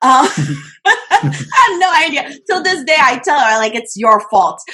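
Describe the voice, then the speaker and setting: A woman speaks in an animated tone with a high pitch and very wide pitch swings. Her voice is raised and projected, and her pace is fairly slow. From Haiti. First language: French and Haitian Creole. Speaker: social media coach. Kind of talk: interview.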